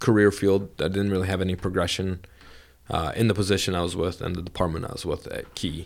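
The speaker has a Bosnian accent and a fairly quick pace. The recording is very clean, with a silent background. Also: man. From Vermont (raised), born in Bosnia. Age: 30s. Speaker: banker. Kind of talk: casual interview. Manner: animated.

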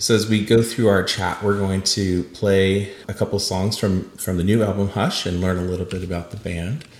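A man with a fairly low pitch talks at a moderate pace in an unremarkable speaking voice. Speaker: podcast host. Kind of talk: casual interview chat.

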